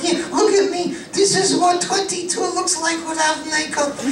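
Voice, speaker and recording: A man's put-on character voice at an extremely high pitch and a moderate pace, with slight echo and loud background noise. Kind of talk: ventriloquist comedy act. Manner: playful, sassy.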